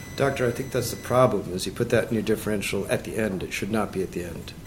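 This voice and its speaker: Noticeable background noise fills the recording. Through it, a man talks at a fairly quick pace. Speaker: medical board member, physician. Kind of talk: board hearing questioning. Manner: fast.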